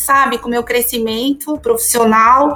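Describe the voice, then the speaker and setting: Raising and projecting her voice, a woman speaks at a high pitch with fairly even intonation. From São Paulo city, Brazil. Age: 40s. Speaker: account director in tech. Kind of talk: interview conversation.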